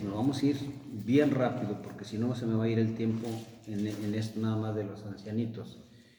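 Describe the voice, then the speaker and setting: With audible room echo, a man talks in a medium pitch and fairly even intonation. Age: 60s. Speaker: preacher. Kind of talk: sermon.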